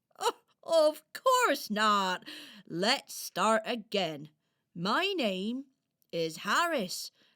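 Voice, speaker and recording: A woman's put-on character voice, fairly high in pitch, very slow, with long, frequent pauses. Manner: gentle, fussing.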